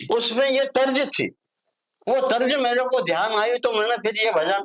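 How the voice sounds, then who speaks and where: The sound is dry and close, with no echo. A man speaks at an extremely high pitch with very even loudness. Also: ordinary pitch variation. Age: 80s+. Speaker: singer and songwriter. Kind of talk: interview answer.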